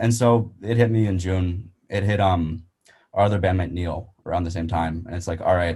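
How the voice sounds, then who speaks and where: A man with a very deep, low pitch and a dark, mellow, somewhat breathy tone speaks at a moderate pace with fairly even intonation. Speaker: musician, singer and rapper. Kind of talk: casual chat.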